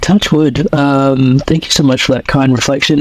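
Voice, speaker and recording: Over noticeable background noise, a man talks in a fairly high voice with an Australian accent. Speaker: coach and podcaster. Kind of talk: podcast interview. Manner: hesitant, many fillers.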